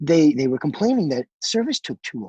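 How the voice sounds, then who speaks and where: A loud, very fast man's voice, fairly high in pitch with very wide pitch swings and a dark, mellow tone, recorded dry and close with no echo. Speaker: restaurant chef.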